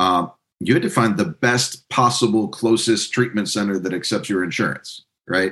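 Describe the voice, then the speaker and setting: Delivered at a moderate pace with ordinary pitch variation, this is a normal speaking voice. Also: man, fairly low pitch for a man. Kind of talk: casual interview chat.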